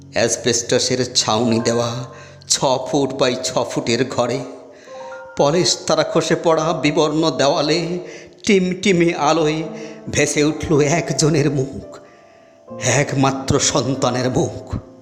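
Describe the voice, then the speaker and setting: A man speaks at a fairly high pitch with ordinary pitch variation, music playing in the background. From West Bengal, India. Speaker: school headmaster. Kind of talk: poetry reading.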